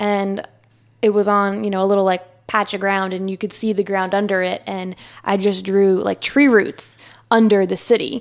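A woman's medium-pitched voice with an American accent, at a moderate pace, in a monotone, flat intonation. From New Jersey. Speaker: podcast guest. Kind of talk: casual chat.

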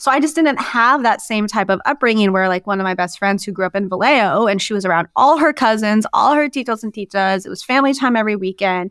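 A woman with an American accent talks at a very fast pace. Her intonation is lively, and she hardly pauses at all. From Idaho. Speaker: sports journalist and podcaster. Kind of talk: casual interview chat.

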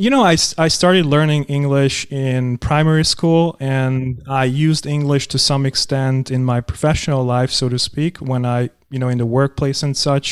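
A man with a non-native accent speaks at a moderate pace and a fairly high pitch. His intonation is fairly even, with hardly any pauses. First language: not English. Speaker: podcast host. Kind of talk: scripted narration; interview.

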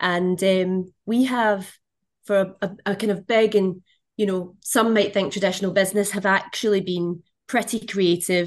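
An ordinary speaking voice from a woman at medium pitch with fairly even intonation. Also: moderate pace. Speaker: marketing executive and company president. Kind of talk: interview, conversational.

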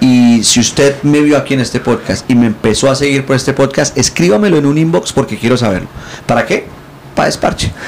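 Over noticeable background noise, the speech stays at a very even loudness and a fairly quick pace. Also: man, medium pitch for a man, ordinary pitch variation. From Colombia. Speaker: comedian. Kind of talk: casual chat. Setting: hotel room.

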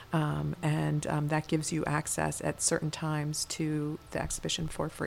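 Her voice very deep and low, a woman speaks at a moderate pace. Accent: American. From US East Coast, rural Pennsylvania. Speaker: museum curator. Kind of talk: interview, casual chat. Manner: hesitant, many fillers.

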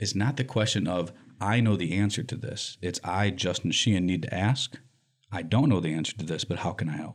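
A man with an American accent and an unremarkable speaking voice talks at a fairly quick pace with a fairly low pitch and ordinary pitch variation, on a very clean recording with a silent background. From US Midwest, Lansing, Michigan. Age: 40s. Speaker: nonprofit director. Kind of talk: interview.

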